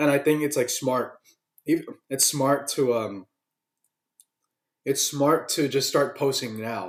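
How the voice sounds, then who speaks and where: A man speaks at a very slow pace with long, frequent pauses. His pitch is fairly high, with ordinary variation. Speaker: vlogger. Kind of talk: casual monologue to camera. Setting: home webcam recording. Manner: animated; halting. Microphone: laptop webcam, no external mic.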